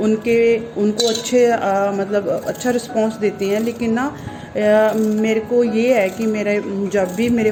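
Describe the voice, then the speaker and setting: Fairly even intonation comes through over music in the background. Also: woman. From Punjab, India. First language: Punjabi (speaking Hindi). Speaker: vlogger. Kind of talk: casual chat. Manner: halting.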